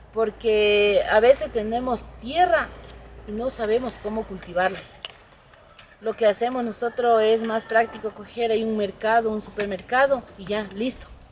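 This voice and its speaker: A woman speaks at a fairly slow pace in a fairly high voice, with fairly even intonation and big swings in loudness. It is an unremarkable speaking voice, with light background noise. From Ecuador, Manabí province. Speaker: small farmer, association member. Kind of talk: interview testimony. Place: farm machine.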